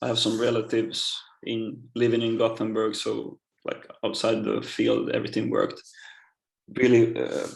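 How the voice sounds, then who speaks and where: In a Swedish accent, a man talks at a moderate pace. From Finland, Swedish-speaking. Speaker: professional footballer. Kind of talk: interview. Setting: podcast. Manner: halting.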